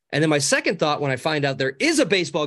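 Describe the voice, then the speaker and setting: Against a quiet background, a man talks at a very fast pace. His fairly high voice has an animated tone. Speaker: social media coach. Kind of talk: casual interview. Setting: video call. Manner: high energy, animated.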